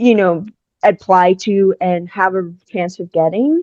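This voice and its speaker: A woman at medium pitch with a dark, mellow tone, ordinary pitch variation, a very slow pace, and a dry, close sound with no echo. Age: 20s. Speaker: stuntwoman. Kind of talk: casual chat. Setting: podcast interview.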